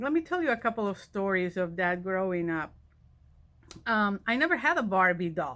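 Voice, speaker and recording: With a Spanish accent, a woman speaks at a medium pitch in a bright, sharp tone. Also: very clean recording, silent background. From Spain. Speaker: college vice president of instruction. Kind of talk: personal storytelling address.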